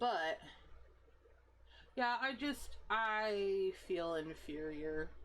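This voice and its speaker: Using lively intonation, a woman with a medium pitch speaks at a very slow pace with long, frequent pauses. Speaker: game streamer. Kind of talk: casual chat. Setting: live stream. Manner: talkative.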